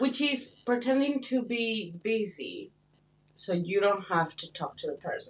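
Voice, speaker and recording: A woman with a Spanish accent speaks at a fairly slow pace. Her pitch is high and swings very widely. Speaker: podcast co-host, international student. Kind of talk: casual chat.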